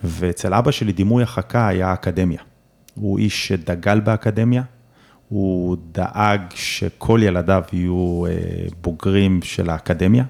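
His voice sits very deep and low in pitch. This man delivers his words very slowly. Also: fairly even intonation, very clean recording, silent background. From southern Israel (Omer). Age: 40s. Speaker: real estate company chairman. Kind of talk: interview.

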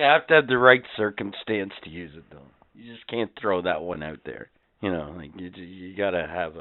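A man with a very deep, low voice and a Canadian accent talks at a moderate pace, his intonation lively and his loudness swinging widely. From Canada. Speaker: podcast host. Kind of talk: trivia quiz; casual chat. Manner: animated.

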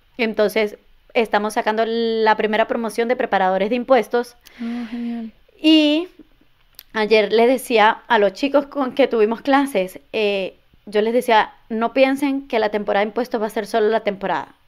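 A woman with an unremarkable speaking voice talks at a moderate pace and fairly high pitch, her intonation fairly even. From Venezuela, border state near Colombia. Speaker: immigration and tax services business owner. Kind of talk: interview.

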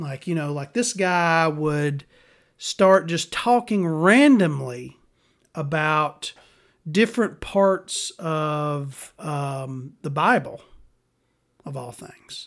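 On a very clean recording with a silent background, a man with a Southern US accent speaks at a very slow pace and fairly high pitch, with lively intonation, big swings in loudness and long, frequent pauses. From US South. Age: 40s. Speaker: podcast host. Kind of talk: casual monologue. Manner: rambling, hesitant with many ums.

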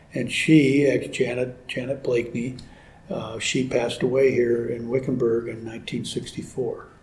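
A man with an American accent speaks at a fairly slow pace in a monotone, flat intonation. Audible room echo fills the recording. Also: medium pitch for a man. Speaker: ranch homeowner. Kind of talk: interview. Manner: halting.

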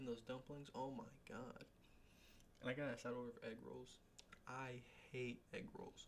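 A man with a medium pitch. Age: 20s. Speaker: podcast host. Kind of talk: casual solo chat. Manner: casual, rambling.

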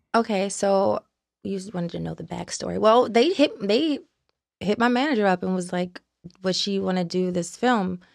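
A woman with an American accent has an ordinary speaking voice of medium pitch, with ordinary pitch variation, big swings in loudness and a moderate pace. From Baltimore, Maryland. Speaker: actress. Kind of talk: casual interview chat. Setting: studio.

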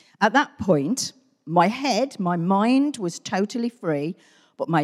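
A woman with a British accent speaks at a fairly slow pace and medium pitch, her pitch swinging very widely, on a very clean recording with a silent background. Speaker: church member. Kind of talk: testimony. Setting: church.

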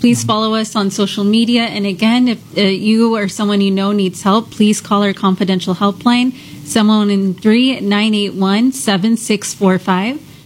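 Over noticeable background noise, a woman with a medium-pitched voice speaks at a fairly slow pace with fairly even intonation and hardly any pauses. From Houston. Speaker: nonprofit outreach director. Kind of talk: radio interview. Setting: studio.

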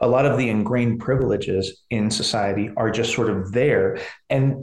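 With an American accent, a man speaks at medium pitch with ordinary pitch variation and a somewhat breathy sound. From US Pacific Northwest (McMinnville, Oregon). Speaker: professor of higher education. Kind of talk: interview, explanatory. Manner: halting, with many repeated words.

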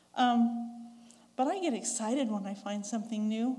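With a western US accent, a woman speaks at a high pitch in a dark, mellow tone. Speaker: church elder preacher, former English teacher. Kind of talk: sermon. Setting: church. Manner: conversational, asks the audience questions.

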